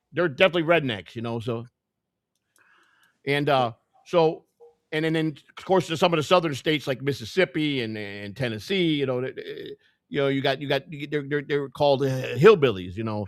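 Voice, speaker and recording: A man with a Chicago accent and a fairly high pitch talks at a fairly quick pace. His loudness swings widely, broken by long, frequent pauses. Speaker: podcast co-host. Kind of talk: casual chat.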